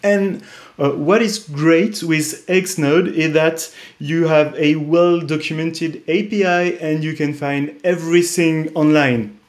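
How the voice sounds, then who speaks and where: Speaking very slowly with a French accent, a man with a fairly high pitch shows ordinary pitch variation against a quiet background. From France. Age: 30s. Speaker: tech startup co-founder; presenter. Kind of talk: conference interview and product demo; conference presentation. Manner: hesitant, many fillers. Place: home room. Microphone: webcam.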